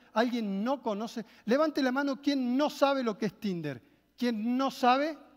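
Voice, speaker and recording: With a Rioplatense accent, a man speaks in an extremely high pitch at a fairly slow pace, his tone animated and his pitch variation ordinary, against a quiet background. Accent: Argentine Spanish (rioplatense). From Argentina. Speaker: marketing speaker; motivational speaker. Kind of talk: motivational keynote talk. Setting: stage with audience. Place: hall. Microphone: headset.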